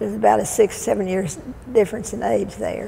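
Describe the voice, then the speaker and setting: A woman with a Texan accent, with audible room echo. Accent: Texan Southern US. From Texas (Waco). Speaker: oral history interviewee. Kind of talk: oral history reminiscence. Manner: halting.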